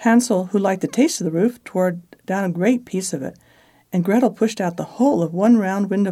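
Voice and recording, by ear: The speaker is reading aloud in a natural voice, pitch shifting by an ordinary degree.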